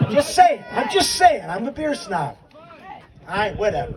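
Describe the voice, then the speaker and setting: Against noticeable background noise, a man with an American accent talks at a moderate pace, his pitch swinging very widely. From upstate New York. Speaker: memorial speaker, adaptive sports volunteer. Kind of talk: memorial tribute speech.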